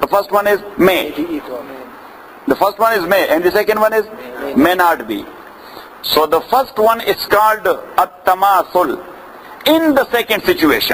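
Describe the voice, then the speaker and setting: Against noticeable background noise, a man with a high pitch talks at a moderate pace and very even loudness, leaving long, frequent pauses. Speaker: Islamic scholar teaching. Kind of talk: lecture. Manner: repetitive, questioning audience.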